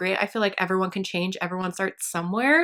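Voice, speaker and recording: In a West Coast accent, a woman speaks at a medium pitch with a bright, sharp tone. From US Pacific Northwest. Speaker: beauty and fashion vlogger. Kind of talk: casual chat. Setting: home. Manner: animated.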